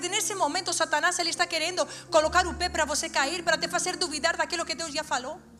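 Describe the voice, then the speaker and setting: Over music in the background, a woman with an extremely high pitch speaks at a very fast pace in a raised, projected voice. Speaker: preacher. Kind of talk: sermon. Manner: animated.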